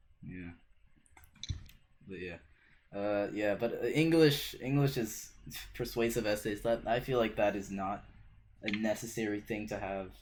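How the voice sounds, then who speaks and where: A man with a non-native accent and a fairly low pitch, at a fairly slow pace, with ordinary pitch variation, big swings in loudness and long, frequent pauses. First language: not English. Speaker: podcast host. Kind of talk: casual chat.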